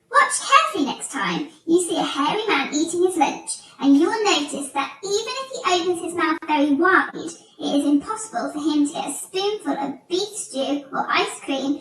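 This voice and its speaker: A woman puts on a squeaky character voice with lively intonation. She goes at a moderate pace. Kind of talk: children's story reading. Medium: read story. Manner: theatrical, relishing.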